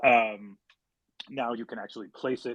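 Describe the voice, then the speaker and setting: A man talks at a medium pitch. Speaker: company marketing head hosting community AMA. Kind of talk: live audio chat room Q&A. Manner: fast.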